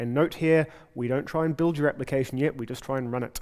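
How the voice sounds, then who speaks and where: This speaker has a New Zealand accent and fairly even intonation at a fairly quick pace. The recording is very clean, with a silent background. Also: man. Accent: New Zealand (Kiwi). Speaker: software developer and conference speaker. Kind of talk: conference talk. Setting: stage with audience. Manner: fast.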